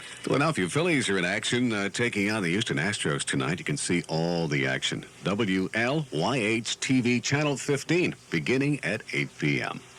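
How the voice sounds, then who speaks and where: A man with a fairly low pitch, vocal fry, very wide pitch swings and hardly any pauses. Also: moderate pace. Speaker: radio announcer. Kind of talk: radio DJ patter. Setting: radio broadcast.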